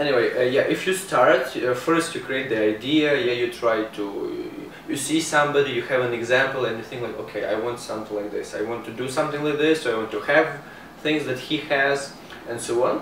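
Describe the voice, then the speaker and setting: Over noticeable background noise and audible room echo, a man with an Eastern European accent talks at a fairly quick pace and a fairly high pitch. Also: ordinary pitch variation. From Ukraine. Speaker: internet marketer and travel blogger. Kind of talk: interview. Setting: in person, Montreal.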